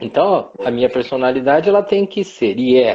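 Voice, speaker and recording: A man talks at a moderate rate while his pitch swings very widely. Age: 60s. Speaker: professor. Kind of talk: casual chat.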